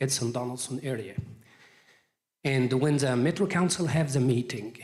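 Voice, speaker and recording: Speaking with a non-native accent, a man uses a medium pitch and a somewhat breathy voice with ordinary pitch variation. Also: moderate pace. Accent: foreign. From Egypt. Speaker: real estate appraiser. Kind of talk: presentation at community meeting.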